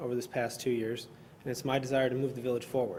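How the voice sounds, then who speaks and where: A man with an American accent speaks at a very fast pace in a monotone, flat delivery. Noticeable background noise runs underneath. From northern Illinois. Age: 30s. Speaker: local politician, village president candidate. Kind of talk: candidate forum opening statement.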